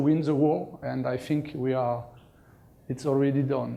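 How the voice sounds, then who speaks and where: With audible room echo, a man in a French accent speaks at a moderate pace with a dark, mellow tone and fairly even intonation. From France. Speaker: conference speaker, cloud infrastructure executive. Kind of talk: conference talk. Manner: halting, many fillers and repetitions.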